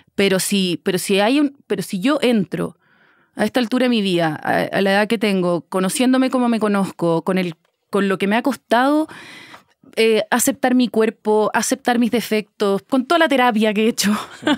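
A woman speaks at a very even loudness with ordinary pitch variation, her voice dry with no echo against a quiet background. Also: moderate pace. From Chile. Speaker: actress. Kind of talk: casual interview conversation. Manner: talkative. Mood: reflective, candid. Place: studio. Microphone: studio mic.

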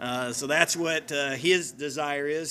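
With light background noise behind him, a man speaks with fairly even intonation. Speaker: guest preacher. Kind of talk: sermon introduction, personal background. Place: church. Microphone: podium.

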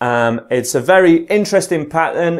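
Behind the man, the background stays quiet. He talks fairly slowly, with pitch that varies in an ordinary way. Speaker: guitar teacher. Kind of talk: tutorial.

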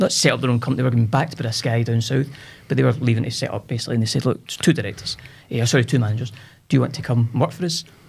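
A man's very fast, somewhat breathy speech in a Scottish central belt accent, medium pitch with ordinary pitch variation. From Scotland, Cumbernauld. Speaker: business owner, entrepreneur. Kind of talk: casual interview chat. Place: studio. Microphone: studio mic.

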